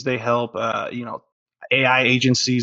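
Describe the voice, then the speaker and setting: This man speaks with an American accent. His pitch sits in the medium range. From California, San Diego. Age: 20s. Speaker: marketing agency owner. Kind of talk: interview. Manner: casual, hesitant with fillers.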